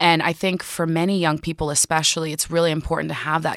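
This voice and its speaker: A woman with an American accent speaks very fast in a very deep, low voice, the sound dry and close with no echo. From northern New Jersey. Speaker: art curator and writer. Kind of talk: casual interview conversation.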